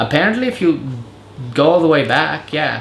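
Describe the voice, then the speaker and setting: Speech at a very fast pace in an American accent comes through audible room echo and noticeable background noise. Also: man. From Serbo-Croatian-speaking family, raised partly in Germany then US. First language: Serbo-Croatian. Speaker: vlogger and English teacher. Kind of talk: casual chat. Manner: casual, filler-heavy.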